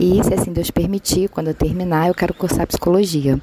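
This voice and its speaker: A woman with a fairly low pitch speaks with fairly even intonation over noticeable background noise. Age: 40s. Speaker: reality show participant, listener. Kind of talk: recorded testimony.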